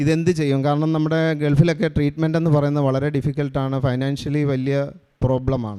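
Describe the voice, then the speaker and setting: A man speaks with fairly even intonation and a fairly high pitch. His tone is dark and mellow. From Kerala, Kuttanad. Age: 40s. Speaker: church testimony giver, Gulf worker. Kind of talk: testimony. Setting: church altar.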